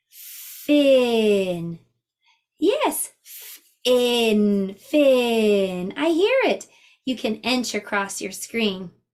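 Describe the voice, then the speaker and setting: Her tone cheerful and her intonation lively, a woman speaks at a very slow pace with long, frequent pauses. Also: fairly high pitch for a woman. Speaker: preschool teacher. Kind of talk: preschool lesson talk to camera. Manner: slow, clear, cheerful.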